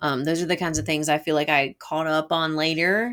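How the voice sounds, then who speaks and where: Speaking at a fairly quick pace, a woman uses a very deep, low pitch with fairly even intonation. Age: 40s. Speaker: podcast co-host. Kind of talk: casual chat.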